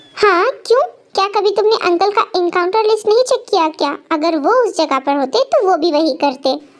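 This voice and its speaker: Using a put-on character voice, a woman speaks at an extremely high pitch. Her loudness stays very even. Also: moderate pace. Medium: read story.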